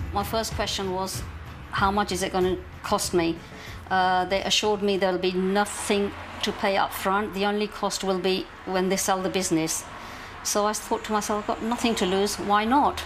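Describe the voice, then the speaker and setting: There is noticeable background noise as a woman talks at a moderate pace. Her pitch is medium and her intonation monotone and flat. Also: very even loudness. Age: 60s. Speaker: small business owner. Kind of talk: interview testimony.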